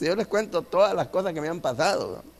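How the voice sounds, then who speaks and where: A man speaks at a moderate pace. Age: 80s+. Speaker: elderly church member giving testimony. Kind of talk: testimony. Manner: halting.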